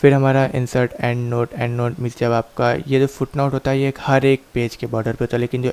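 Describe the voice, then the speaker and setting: The dry, close sound has no echo. A man speaks in a monotone, flat intonation. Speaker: computer course teacher. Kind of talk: tutorial.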